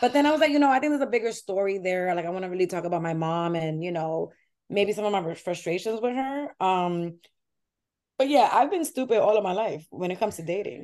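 Speaking very fast with a New York accent, a woman at a medium pitch makes very wide pitch swings. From New York City (Washington Heights), Dominican family. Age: 30s. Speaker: comedian. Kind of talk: casual chat.

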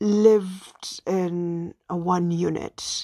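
A woman is heard in a dry, close sound with no echo against a quiet background. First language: Swahili. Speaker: podcast host. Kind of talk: personal storytelling monologue.

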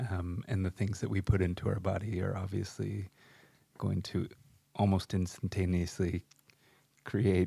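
A man's very deep, low, somewhat breathy voice with a dark, mellow tone, flat monotone delivery, moderate pace and long, frequent pauses, on a very clean recording with a silent background. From US West Coast (San Luis Obispo, California). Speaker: podcast co-host. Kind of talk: casual chat.

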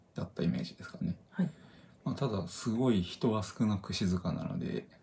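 Noticeable background noise surrounds a man's fairly low voice. His pitch swings very widely. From Japan, northern Saitama. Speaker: podcast co-host. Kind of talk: casual chat.

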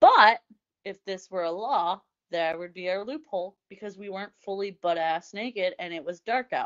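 Loudness swings widely at a moderate pace. The speaker has an American accent. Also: woman, medium pitch for a woman, ordinary pitch variation. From Indiana. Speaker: podcast co-host. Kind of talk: casual banter, explicit comedy chat. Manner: animated, sassy.

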